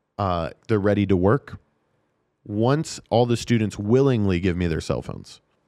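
Over a quiet background, a man with an American accent speaks at a moderate pace in a fairly low voice with a dark, mellow tone and ordinary pitch variation. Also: long, frequent pauses. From Nevada, US. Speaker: special education teacher and sports announcer. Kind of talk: casual interview chat. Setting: studio.

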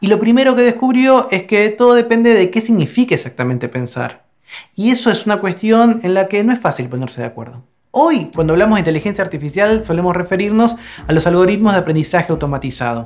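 A man's high-pitched voice, very fast, with very wide pitch swings. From Argentina. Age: 40s. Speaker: philosophy professor. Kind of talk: explanatory monologue.

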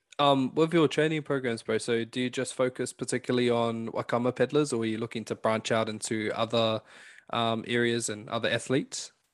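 A man with a New Zealand accent and a medium pitch speaks at a fairly quick pace with fairly even intonation, his sound dry and close with no echo against a quiet background. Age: 20s. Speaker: podcast host. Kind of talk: casual interview.

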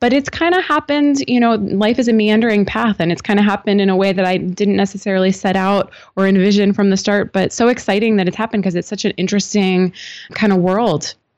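Over a quiet background, a woman talks very fast with an American accent at medium pitch, keeping her loudness very even and her pitch variation ordinary. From US, Northern Virginia. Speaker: psychologist. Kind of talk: interview. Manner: hesitant, filler-heavy.

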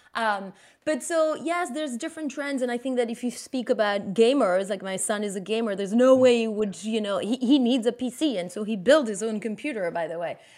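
A woman with a Belgian French accent, fairly high pitch and lively intonation, at a fairly quick pace with hardly any pauses. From Belgium. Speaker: marketing executive. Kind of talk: interview.

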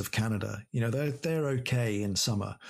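Very clean recording with a silent background, as a man speaks at a medium pitch. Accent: English. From England. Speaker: air force pilot. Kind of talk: interview.

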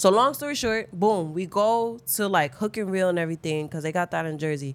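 A woman with an American accent talks at a fairly quick pace and medium pitch. Her tone is animated and her intonation lively. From New York, the Bronx. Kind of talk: casual storytelling chat.

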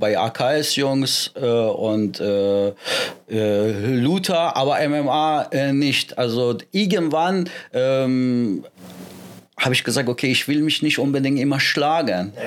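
A man with a Persian accent talks at a very slow pace. His intonation is lively and his loudness stays very even. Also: medium pitch for a man. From Iran, moved to Germany at 13. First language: Persian (speaking German). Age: 40s. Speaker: MMA and wrestling coach. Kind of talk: casual interview.

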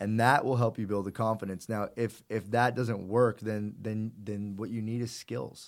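A man with a normal speaking voice talks at a moderate pace, fairly low in pitch, with fairly even intonation and hardly any pauses. The recording is very clean, with a silent background. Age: 30s. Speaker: entrepreneur and fitness trainer. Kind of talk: casual interview chat.

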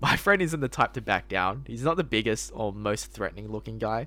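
Speaking with an Australian accent, a man keeps his delivery at a moderate pace. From Sydney, Australia. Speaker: podcast co-host. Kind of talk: casual chat.

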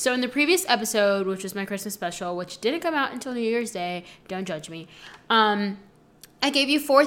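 Bright and sharp, a woman's medium-pitched voice moves at a fairly quick pace with an animated tone and lively intonation. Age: 20s. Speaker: podcast host. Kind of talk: casual monologue. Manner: fast.

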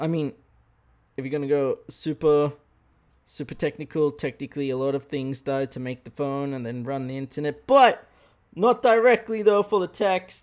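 A man with an Australian accent and big swings in loudness, on a very clean recording with a silent background. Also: fairly high pitch for a man, lively intonation, moderate pace. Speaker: podcast host. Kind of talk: casual monologue. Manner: animated, laughing often.

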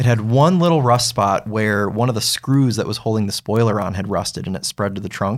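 A man with a plain, everyday voice talks fairly quickly at medium pitch with ordinary pitch variation. The recording is very clean, with a silent background. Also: hardly any pauses. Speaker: car reviewer, podcast co-host. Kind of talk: casual chat.

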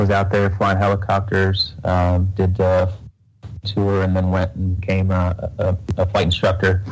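A man with an American accent, very deep and low in pitch, somewhat breathy, at a fairly slow pace with monotone, flat intonation. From Texas. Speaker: Navy reservist and real estate investor. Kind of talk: interview. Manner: halting, many fillers.

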